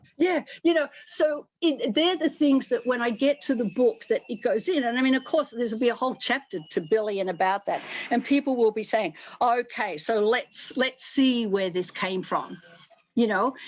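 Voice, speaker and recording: Over a quiet background, a woman with an Australian accent speaks at a high pitch with lively intonation. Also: moderate pace. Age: 70s. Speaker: fashion and costume designer. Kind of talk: interview. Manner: animated.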